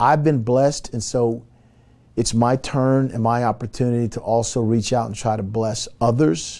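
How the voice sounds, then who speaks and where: This man's medium-pitched voice has a dark, mellow tone and fairly even intonation, delivered at a moderate pace. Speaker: college football coach. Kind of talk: interview answer. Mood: reflective, grateful. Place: office. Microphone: lapel.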